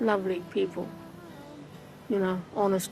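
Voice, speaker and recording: A woman's voice at medium pitch, with music in the background. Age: 60s. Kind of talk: interview testimony.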